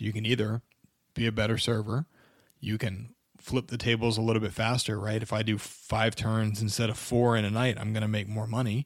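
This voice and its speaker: A man speaks at a fairly quick pace in an unremarkable speaking voice, medium in pitch, with fairly even intonation on a very clean recording over a silent background. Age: 30s. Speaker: podcast host, personal injury lawyer. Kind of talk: solo podcast monologue. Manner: casual, conversational.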